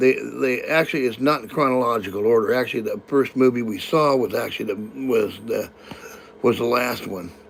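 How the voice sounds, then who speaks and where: A man with an American accent at a fairly quick pace, with noticeable background noise. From California. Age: 60s. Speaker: live-stream host. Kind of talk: casual live-stream chat. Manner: halting, many repetitions and fillers.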